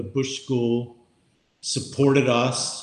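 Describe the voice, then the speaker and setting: A man with an unremarkable speaking voice. His pitch sits in the medium range. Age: 60s. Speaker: podcast co-host. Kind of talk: casual chat. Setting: remote recording.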